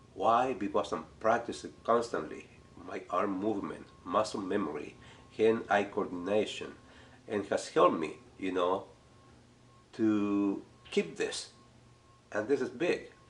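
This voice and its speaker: A man with a Spanish accent speaks with long, frequent pauses. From Chile. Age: 60s. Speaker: art teacher. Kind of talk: casual talk to camera.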